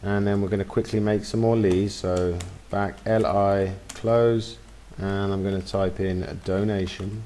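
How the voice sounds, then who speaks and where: Audible room echo surrounds a man's voice. He is fairly low-pitched, and his intonation is fairly even. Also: fairly slow pace. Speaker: web design tutor. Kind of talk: screen-recorded tutorial. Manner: casual, with fillers.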